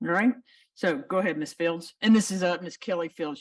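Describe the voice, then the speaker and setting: Here a woman speaks with an American accent. Her pitch is medium. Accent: has an. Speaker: judge. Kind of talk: court hearing. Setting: courtroom.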